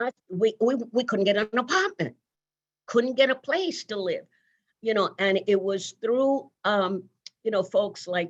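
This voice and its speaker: In a Virgin Islands accent, a woman talks with lively intonation. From US Virgin Islands. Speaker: nursing leader and pioneer. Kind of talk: interview conversation. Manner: conversational, with many fillers.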